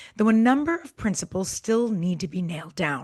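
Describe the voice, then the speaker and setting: A woman's somewhat breathy voice at a moderate pace, lively intonation, quiet background. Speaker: podcast co-host; former government official, peace advocate. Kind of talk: podcast discussion.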